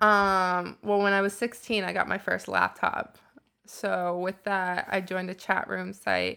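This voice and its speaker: The recording is very clean, its background silent. A woman talks at a fairly slow pace. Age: 20s. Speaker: sex shop worker. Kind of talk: casual interview chat.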